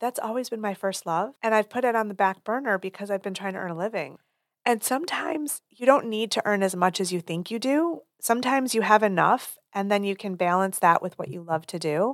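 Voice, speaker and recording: A woman with a plain, everyday voice speaks at a medium pitch with lively intonation. The recording is very clean, with a silent background and a dry, close sound with no echo. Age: 50s. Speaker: PR and marketing firm owner, writer. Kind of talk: casual interview chat.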